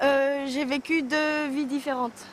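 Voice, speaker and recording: With fairly even intonation, a woman speaks at a very slow pace. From France, Aulnay-sous-Bois, Paris suburbs. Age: 20s. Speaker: young suburban resident, interviewee. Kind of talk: documentary testimony.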